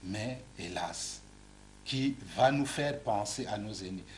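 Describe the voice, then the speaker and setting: A man talks very slowly, his voice carrying audible room echo over noticeable background noise. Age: 60s. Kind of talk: TV interview. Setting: TV studio. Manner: repetitive stammering on words.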